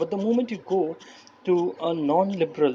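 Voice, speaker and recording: High-pitched male speech over noticeable background noise. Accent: non-native. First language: not English. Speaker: political commentary youtuber. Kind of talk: screen-recording commentary. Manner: halting.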